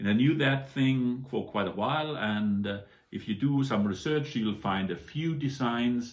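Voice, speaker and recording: A man speaks with very wide swings in pitch. Audible echo from the room surrounds his voice. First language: German. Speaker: toy model reviewer. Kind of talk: product review. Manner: casual, many hesitations.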